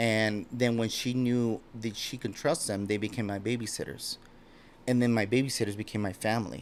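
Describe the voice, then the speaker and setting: Speaking with an American accent, a man keeps a medium pitch, a moderate pace and fairly even intonation. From Los Angeles area, California (born Mexico City). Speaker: podcast guest. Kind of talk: casual conversation.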